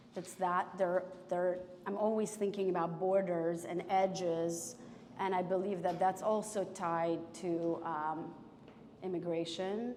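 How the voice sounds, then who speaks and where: Amid noticeable background noise and audible room echo, a woman with a Russian accent speaks at a fairly slow pace, her medium pitch held in a monotone, flat intonation. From former Soviet Union. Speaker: painter. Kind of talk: public artist conversation. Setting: gallery with audience. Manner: halting, many fillers.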